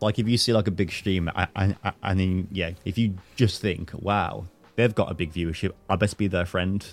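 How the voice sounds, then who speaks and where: A man at a very deep, low pitch, with fairly even intonation and a moderate pace, music in the background. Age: 20s. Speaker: podcast host and streamer. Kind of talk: casual chat.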